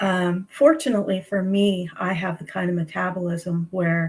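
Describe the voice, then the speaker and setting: A somewhat breathy woman, fairly low in pitch, at a moderate pace. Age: 60s. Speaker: registered nurse, health coach. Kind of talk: livestream interview. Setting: livestream video call.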